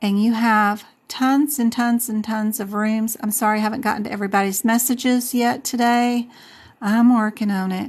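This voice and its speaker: At a moderate pace, a woman speaks in a fairly high pitch with monotone, flat intonation against a quiet background. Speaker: medical coding instructor. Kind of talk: live stream tutorial. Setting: live stream. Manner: casual, chatty; loud.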